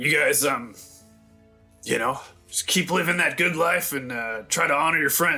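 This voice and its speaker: A man talks in a raspy put-on character voice, fairly high in pitch, at a moderate pace, with faint music in the background. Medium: actual play. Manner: folksy, easygoing.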